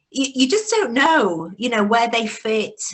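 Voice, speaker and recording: A woman with a northern English accent and a fairly high pitch. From northern England, Bradford, West Yorkshire. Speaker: business networking founder. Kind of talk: podcast interview. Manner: conversational, with false starts.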